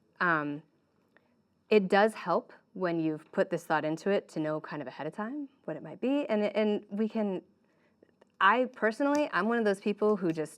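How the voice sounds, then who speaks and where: Her intonation lively, a woman speaks at a medium pitch. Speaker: volunteer worship leader and musician. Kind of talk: conference breakout session talk. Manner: fast.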